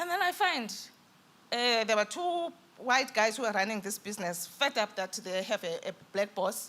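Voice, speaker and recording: A woman's fairly high voice with very wide pitch swings, over noticeable background noise. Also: moderate pace. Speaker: businesswoman panelist. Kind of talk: panel discussion.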